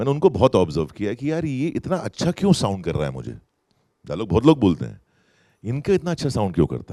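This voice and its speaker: A man with a dark, mellow tone, vocal fry and very wide pitch swings, in a dry, close sound with no echo on a very clean recording with a silent background. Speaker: actor. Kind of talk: festival stage interview answer. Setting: live festival stage with audience. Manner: slow, deliberate.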